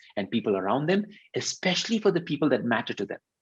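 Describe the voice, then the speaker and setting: A man's medium-pitched voice with a Tamil accent, very wide pitch swings and a fairly quick pace. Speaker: leadership consultant and workshop facilitator. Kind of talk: interview explanation on video webinar.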